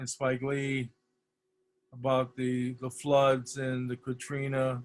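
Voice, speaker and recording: A man with an American accent talks at a fairly slow pace and a fairly high pitch. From US Midwest (Detroit, Michigan). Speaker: poster designer, art director. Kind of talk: lecture. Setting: video call.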